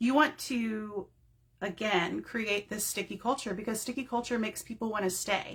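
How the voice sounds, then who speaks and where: A woman with a normal speaking voice talks at a fairly high pitch, her pitch variation ordinary. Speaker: direct sales team leader. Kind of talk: live-streamed training talk. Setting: home office, facebook live. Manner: casual, rambling with fillers.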